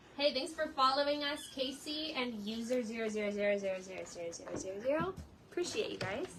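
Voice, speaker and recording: At a very fast pace and high pitch, a woman's voice swings very widely in pitch amid noticeable background noise and audible room echo. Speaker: cat shelter livestream host. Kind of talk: live stream chat. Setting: indoor shelter room, livestream. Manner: loud.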